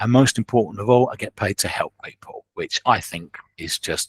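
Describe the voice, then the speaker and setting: In a southeast English accent, a man talks at a moderate pace and medium pitch with ordinary pitch variation, the sound dry and close with no echo on a very clean recording with a silent background. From southeast England, Kent. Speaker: clairvoyant medium. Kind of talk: podcast interview.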